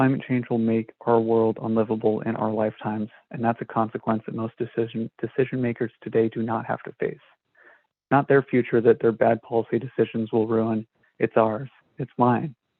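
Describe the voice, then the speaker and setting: A man of medium pitch speaks with monotone, flat intonation. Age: 20s. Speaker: climate activist, public commenter. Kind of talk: public comment.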